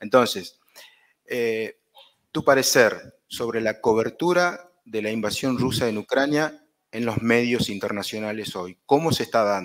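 At a medium pitch and a fairly slow pace, a man speaks in a normal speaking voice with ordinary pitch variation against a quiet background. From Argentina. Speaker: journalism lecturer. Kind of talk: interview. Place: hall.

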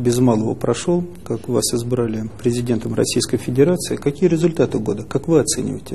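Ordinary pitch variation from a man speaking at a moderate speed. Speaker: newspaper editor. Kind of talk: press interview. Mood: formal, respectful. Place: office.

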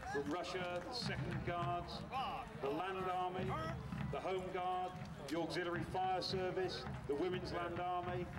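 A man talks fairly slowly, leaving long, frequent pauses, while loud background noise fills the scene. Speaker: event announcer. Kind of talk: commentary. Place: open country.

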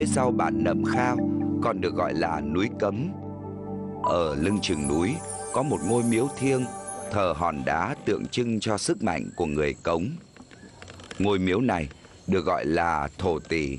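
Music plays behind a man with a very deep, low pitch and lively intonation. He talks fairly slowly at a very even loudness, with long, frequent pauses. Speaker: documentary narrator. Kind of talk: documentary narration.

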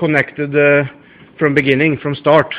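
A fairly high-pitched man's voice with a Swedish accent. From Sweden. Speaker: car mechanic / hobbyist. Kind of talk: technical demonstration to camera. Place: garage. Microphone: phone near.

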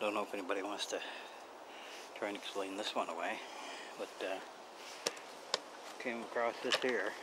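Loud background noise surrounds a man who speaks at a fairly fast clip. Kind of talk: casual vlog commentary. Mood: curious, mildly suspicious. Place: forest. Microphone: phone near.

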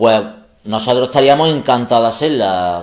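A man with an ordinary speaking voice at a medium pitch and moderate pace, ordinary pitch variation, quiet background. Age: 40s. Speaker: comedy youtuber; comedy video creator. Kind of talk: casual chat. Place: home room.

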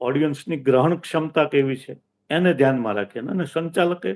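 A man speaks in an ordinary speaking voice with ordinary pitch variation. His pitch is fairly high. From Saurashtra, Gujarat (Bhavnagar district). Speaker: event emcee and retired teacher. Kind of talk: interview.

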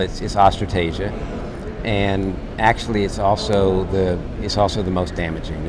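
A man speaks at a moderate pace while noticeable background noise runs behind him. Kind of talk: interview answer. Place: hall. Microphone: lapel.

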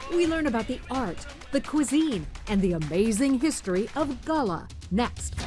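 A woman's fairly high voice at a moderate pace, with very wide pitch swings and music in the background. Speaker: TV show host. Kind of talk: TV travel show narration.

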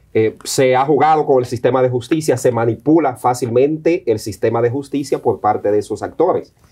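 The voice has a dark, mellow tone, is somewhat breathy, and moves at a fairly quick pace. Its pitch variation is ordinary and its loudness very even, over a quiet background. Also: man. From Dominican Republic. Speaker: news show co-host. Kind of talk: opinion commentary. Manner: emphatic. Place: studio. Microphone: lapel.

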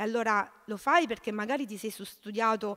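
A woman's fairly high voice against a quiet background. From southern Italy, Salento (Lecce province); southern Italy. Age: 30s. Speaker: social cooperative president, activist; speaker. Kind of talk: panel talk. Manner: halting, many repetitions. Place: hall. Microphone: podium.

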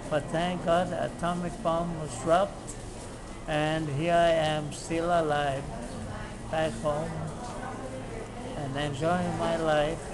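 Over noticeable background noise, a man speaks very slowly with long, frequent pauses. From Hawaii. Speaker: war veteran. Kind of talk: interview answer. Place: street. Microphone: phone near.

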